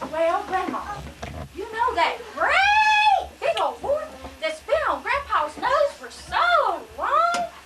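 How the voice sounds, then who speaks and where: A woman does a put-on character voice at an extremely high pitch, speaking at a very slow pace over light background noise. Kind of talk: amateur church play.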